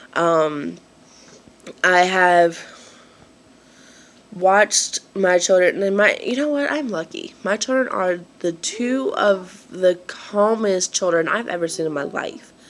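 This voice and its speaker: A woman talks very slowly, with long, frequent pauses and noticeable background noise behind her. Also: medium pitch for a woman, lively intonation. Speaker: vlogger. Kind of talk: casual chat. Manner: halting, many fillers.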